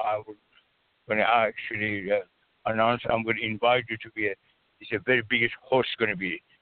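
A man's medium-pitched voice at a fairly quick pace, broken by long, frequent pauses. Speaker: caller. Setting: phone call. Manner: halting.

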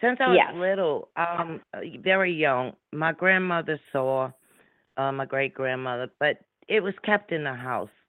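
Speaking in a strong New Orleans accent, a woman with a very deep, low pitch talks at a fairly slow pace with long, frequent pauses. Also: lively intonation. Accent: heavy Louisiana, New Orleans. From New Orleans, Louisiana. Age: 60s. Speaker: radio show guest, psychic medium. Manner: speaks slowly and deliberately.

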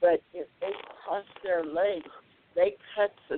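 A woman speaks at a very slow pace. Her pitch varies in an ordinary way. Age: 90s. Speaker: wellness retreat owner and yoga teacher. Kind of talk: casual interview chat. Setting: phone call.

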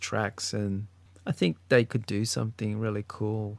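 In an Australian accent, a man speaks at a medium pitch and a fairly slow pace in a very clean recording with a silent background. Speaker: podcast co-host, guest. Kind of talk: casual chat.

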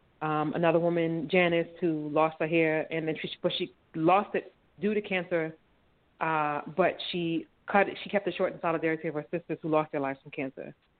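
A woman with an American accent speaks at a moderate pace in a fairly low, monotone voice with flat intonation. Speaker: filmmaker. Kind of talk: interview.

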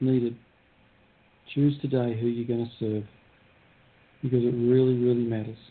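A man speaks at medium pitch in a monotone, flat intonation. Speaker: prayer participant. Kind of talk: intercessory prayer. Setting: phone call. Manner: halting.

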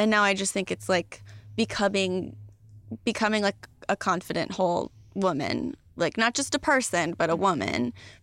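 A woman with an American accent speaks at a moderate pace, her medium pitch carrying vocal fry and lively intonation. Her loudness stays very even, and the recording is very clean with a silent background. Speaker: comedian and TV writer-producer. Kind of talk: casual chat.

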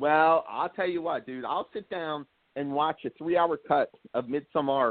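In a normal speaking voice, a man with an American accent talks at a moderate pace and a fairly high pitch. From New Jersey. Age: 40s. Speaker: horror writer and filmmaker. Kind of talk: casual chat.

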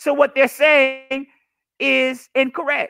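Loud and animated, a man talks in an extremely high pitch. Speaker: political commentary livestreamer. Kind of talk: solo livestream monologue. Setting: live stream. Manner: animated, with frequent repetitions.

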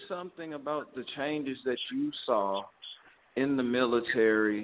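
A man talks with a Southern US accent. His pace is fairly slow. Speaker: podcast co-host. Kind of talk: casual chat.

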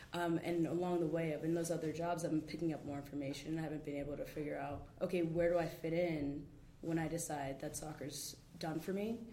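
A woman with an American accent speaks at a fairly quick pace in a monotone, flat intonation. Her pitch is very deep and low, her tone dark and mellow, and room echo can be heard. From New York City, Manhattan. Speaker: professional soccer player. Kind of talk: casual interview. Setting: campus studio with small audience.

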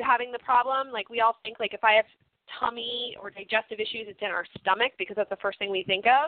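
An ordinary speaking voice from a woman, fairly high in pitch, with ordinary pitch variation. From US. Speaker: health coach. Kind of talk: interview.

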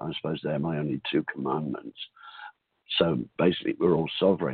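Very deep and low, a man's voice comes through with an Australian accent. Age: 60s. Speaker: call-in listener. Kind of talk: personal testimony. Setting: phone call.

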